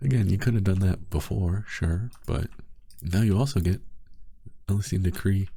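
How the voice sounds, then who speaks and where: A soft-spoken man talks in a fairly low pitch, with a dark, mellow tone and a somewhat breathy quality. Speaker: gaming youtuber. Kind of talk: casual gameplay commentary. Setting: home recording at night.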